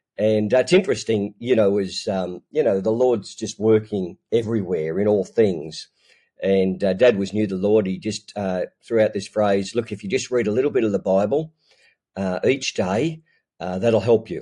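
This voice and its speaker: In an Australian accent, a man speaks at a moderate pace with a fairly low pitch, ordinary pitch variation and a dark, mellow tone. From Australia, Newcastle NSW. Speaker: ministry leader. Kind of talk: casual interview. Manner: hesitant, many fillers.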